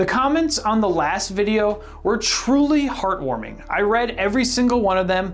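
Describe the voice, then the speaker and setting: Animated, fairly high-pitched woman's voice with ordinary pitch variation, audible room echo and music in the background. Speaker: history video creator. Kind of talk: casual video outro. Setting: home room. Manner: loud.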